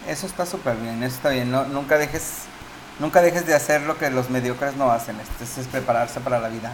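A man with a Mexican accent talks at a fairly quick pace and medium pitch, with ordinary pitch variation and noticeable background noise. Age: 40s. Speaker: university teacher and podcast co-host. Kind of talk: casual chat.

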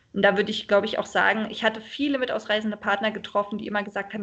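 Speaking at a very fast pace, a woman talks. Her pitch is medium. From Berlin, Germany. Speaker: expat partner, mother. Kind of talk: interview, casual chat. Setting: internet call. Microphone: sometimes poor sound quality.

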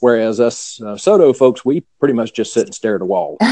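A man talks at a moderate pace in a Southern US accent. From US South. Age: 50s. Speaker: Zen teacher. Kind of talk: casual chat.

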